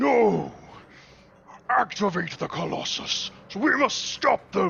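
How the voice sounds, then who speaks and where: A raspy, fairly high put-on character voice at a very slow pace. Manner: bellicose, commanding.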